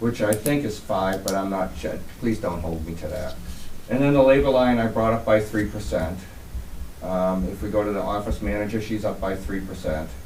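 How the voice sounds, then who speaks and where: Lively intonation comes through in an American accent, with audible room echo and noticeable background noise. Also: man, fairly low pitch for a man, moderate pace. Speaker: water department superintendent. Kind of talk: budget presentation at public meeting.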